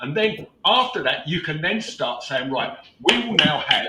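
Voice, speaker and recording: Over noticeable background noise, a man with a British accent uses a raised, projected voice, high-pitched and swinging very widely in pitch. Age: 70s. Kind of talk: casual chat. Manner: halting.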